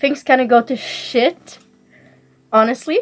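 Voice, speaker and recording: A woman with a French accent speaks at a very slow pace and a high pitch, with fairly even intonation. Music plays in the background. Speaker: booktuber. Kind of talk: casual book review vlog. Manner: casual with many fillers.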